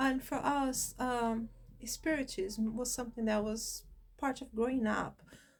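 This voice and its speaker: In a Brazilian Portuguese accent, a woman speaks at a fairly slow pace in a high pitch, with monotone, flat intonation. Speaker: spiritism channel host. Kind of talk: personal introduction monologue. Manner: hesitant, with fillers.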